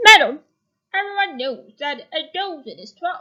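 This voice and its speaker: A woman in a put-on character voice talks at a moderate pace and an extremely high pitch, with very wide pitch swings. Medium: read story. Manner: firm, matter-of-fact.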